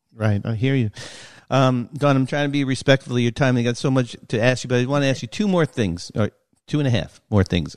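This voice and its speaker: Here is a normal speaking voice from a man with an American accent. He talks at a fairly quick pace against a quiet background. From New York. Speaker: sports podcast host. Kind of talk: interview.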